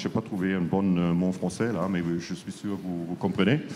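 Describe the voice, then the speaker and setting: A man speaks with a strong German accent. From Germany. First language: German (speaking French). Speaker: panel moderator, foreign newspaper correspondent. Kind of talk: panel debate moderation. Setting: stage with audience at conference. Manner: hesitant, many fillers.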